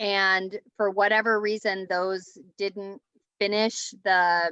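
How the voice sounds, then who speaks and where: A woman speaks very slowly in a bright, sharp tone with monotone, flat intonation. The sound is dry and close with no echo, and the background is quiet. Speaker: team meeting leader. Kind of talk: business team meeting update. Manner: slow, careful.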